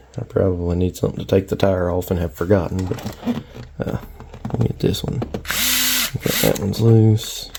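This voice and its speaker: Moderately paced speech with noticeable noise in the background. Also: man, very deep, low pitch for a man. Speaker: RC hobbyist. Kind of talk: tutorial. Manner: monotone.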